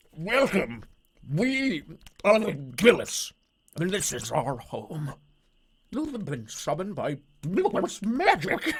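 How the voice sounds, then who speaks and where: This put-on character voice sits at a middle pitch with very wide pitch swings. It goes at a very slow pace, with long, frequent pauses. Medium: game stream. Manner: halting, broken speech.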